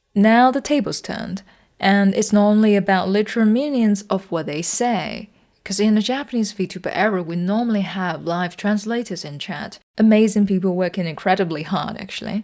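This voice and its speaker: A woman talks at a moderate pace with medium pitch and ordinary pitch variation, on a very clean recording with a silent background. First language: not English. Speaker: video essayist. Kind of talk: video essay narration.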